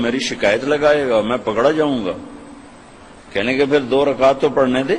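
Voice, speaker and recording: A man talks with fairly even intonation. Noticeable background noise sits behind him. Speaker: Islamic preacher. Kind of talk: Islamic sermon, emotional lecture. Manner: emotional, passionate, dramatic storytelling.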